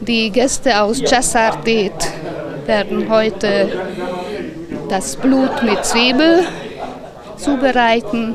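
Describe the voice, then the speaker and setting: Loud background noise surrounds a woman's voice. She talks at a very slow pace with long, frequent pauses. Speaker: event organiser. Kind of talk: interview answer. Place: street. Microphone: handheld.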